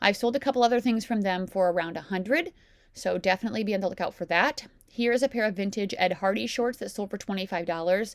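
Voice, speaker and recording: A woman of medium pitch talks at a very fast pace, with ordinary pitch variation. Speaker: reseller YouTuber. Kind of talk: casual haul video narration.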